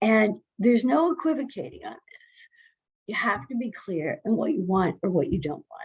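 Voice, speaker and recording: A woman's fairly high pitch, with very wide pitch swings and vocal fry. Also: moderate pace. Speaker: healthcare consultant presenter. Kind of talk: presentation. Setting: video call.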